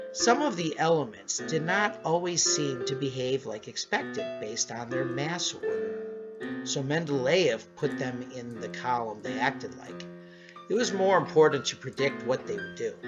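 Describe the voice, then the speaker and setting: Doing a squeaky, put-on character voice with a fairly high pitch, a man speaks at a moderate pace over clear music in the background. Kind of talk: educational explainer. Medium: cartoon.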